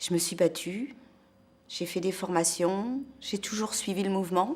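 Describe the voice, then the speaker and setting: A woman talks at a fairly slow pace. Her pitch sits in the middle range and varies in an ordinary way. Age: 60s. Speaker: protester. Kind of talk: testimony. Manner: halting.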